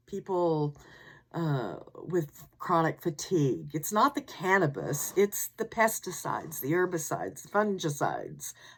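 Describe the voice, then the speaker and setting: A woman with a fairly low pitch and vocal fry speaks at a moderate pace. Her intonation is lively, and her loudness swings widely. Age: old. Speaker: podcast host. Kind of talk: scripted narration. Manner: musical intonation; frequent dramatic pauses.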